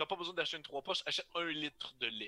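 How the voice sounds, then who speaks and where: A man with a Quebec accent, a bright, sharp tone and lively intonation, in a dry, close sound with no echo. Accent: Québécois French. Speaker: guest podcaster. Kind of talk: casual chat. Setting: video call.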